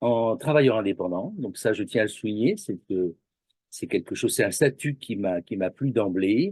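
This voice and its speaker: Recorded dry and close with no echo, a man with a plain, everyday voice talks at a moderate pace and medium pitch with lively intonation. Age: 60s. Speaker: massage practitioner, retired graphic designer. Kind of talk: interview.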